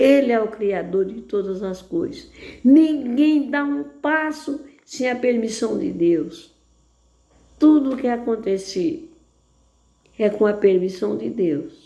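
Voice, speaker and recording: With a dark, mellow tone and a fairly high pitch, a woman speaks at a very slow pace with very wide pitch swings and long, frequent pauses. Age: 80s+. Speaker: lay preacher. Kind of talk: sermon.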